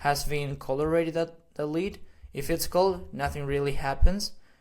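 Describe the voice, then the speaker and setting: A man with a Spanish accent, fairly high-pitched, at a moderate pace. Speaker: AI automation consultant. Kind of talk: tutorial. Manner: halting, many fillers.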